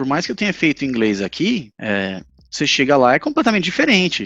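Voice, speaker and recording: Against a quiet background, a man talks at a moderate pace with fairly high pitch and very wide pitch swings. The sound is dry and close, with no echo. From Brazil, Recife. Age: 30s. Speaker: English teacher. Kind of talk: casual interview chat. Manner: halting.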